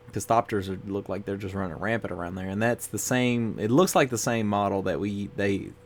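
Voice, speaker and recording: A man with a fairly low voice talks at a moderate speed while music plays in the background. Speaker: YouTuber reviewing Magic cards. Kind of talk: casual card review monologue. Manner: monotone.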